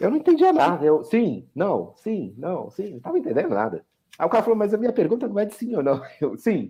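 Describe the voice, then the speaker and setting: This man has a high pitch with very wide swings. He talks at a fairly quick pace. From Brazil. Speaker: software architect. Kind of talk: casual chat. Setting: video call. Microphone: too quiet on one platform.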